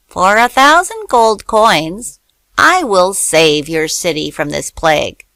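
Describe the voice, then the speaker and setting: A woman uses a put-on character voice at a medium pitch. She goes at a fairly slow pace. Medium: read story.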